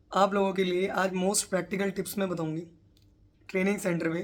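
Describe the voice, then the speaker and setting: This voice moves at a moderate pace with monotone, flat intonation. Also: woman. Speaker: police sub-inspector, exam prep tutor. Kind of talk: motivational tutorial to camera.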